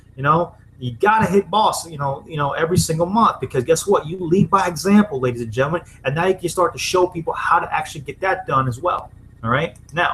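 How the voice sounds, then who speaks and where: Through noticeable background noise, a man with a high pitch talks very fast. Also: ordinary pitch variation. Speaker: network marketing presenter. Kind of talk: sales pitch. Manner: animated.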